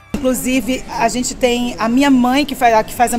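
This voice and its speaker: Monotone, flat intonation with faint music in the background. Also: woman. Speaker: actress at premiere. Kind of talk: interview answer. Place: hall. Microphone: handheld.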